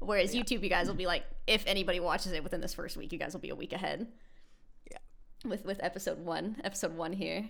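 A woman with an American accent speaks at a very fast pace. Her pitch is medium and her intonation fairly even. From United States. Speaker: podcast co-host. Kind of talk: casual chat.

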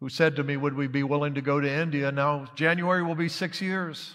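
A man with an American accent uses a normal speaking voice at a fairly high pitch. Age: 60s. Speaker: missionary pastor. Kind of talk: sermon. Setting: church.

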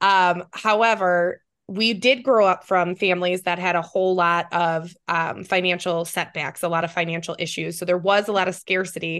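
Against a quiet background, a woman with a plain, everyday voice speaks at a moderate pace, her pitch fairly low and her intonation fairly even. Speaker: podcast co-host. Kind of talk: casual interview chat.

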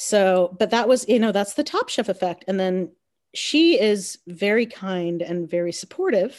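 At a fairly slow pace, a woman with an American accent speaks in an unremarkable speaking voice of medium pitch. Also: ordinary pitch variation. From North Carolina. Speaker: chef and food business owner. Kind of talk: casual chat.

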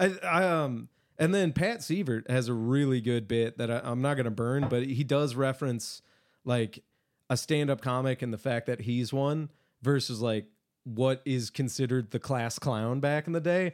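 A man at a medium pitch with an American accent, moderate pace and ordinary pitch variation, on a very clean recording with a silent background. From Michigan, Detroit east side. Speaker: stand-up comedian. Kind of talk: casual chat.

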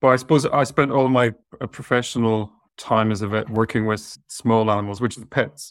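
With an Irish accent, a man talks at a medium pitch with fairly even intonation. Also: moderate pace, big swings in loudness. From southwest Ireland. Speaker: veterinary surgeon and talent manager. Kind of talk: interview on an online webinar. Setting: video call.

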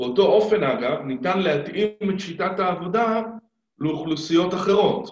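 A man speaks at a fairly slow pace in a high-pitched voice. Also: ordinary pitch variation. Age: 50s. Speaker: stuttering therapist. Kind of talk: interview.

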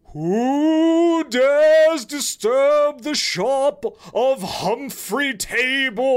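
A put-on character voice pitched high. It moves at a very slow pace. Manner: eerie, ghostly.

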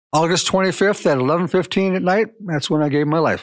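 There is a quiet background here. With an American accent, the man talks using ordinary pitch variation. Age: 60s. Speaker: sports announcer and superfan. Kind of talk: casual interview. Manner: halting.

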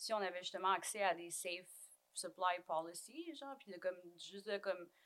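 At a fairly slow pace, a woman talks in a normal speaking voice at a medium pitch. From Quebec, Cree community of Waswanipi. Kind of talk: casual chat.

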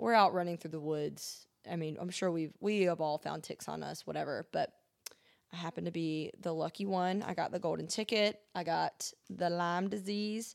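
With an American accent and a plain, everyday voice, a woman speaks at a moderate pace and fairly low pitch with fairly even intonation. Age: 20s. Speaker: recent graduate with autoimmune disease. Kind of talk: casual chat.

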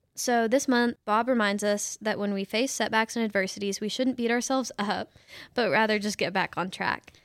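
In a very clean recording with a silent background and a dry, close sound with no echo, a woman with a plain, everyday voice speaks at a moderate pace with fairly even intonation and a fairly high pitch. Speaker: social media coordinator and podcast host. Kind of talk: interview-style podcast chat.

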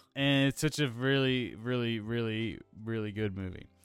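Music plays in the background. The speaker talks at a fairly slow pace with ordinary pitch variation. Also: man. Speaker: podcast host. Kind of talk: casual chat. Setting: remote call.

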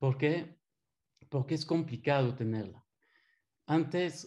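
Against a quiet background, a man with a fairly high pitch speaks in a dark, mellow tone that is somewhat breathy. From Belgium. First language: French (speaking Spanish). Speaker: systems engineer. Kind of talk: webinar presentation.

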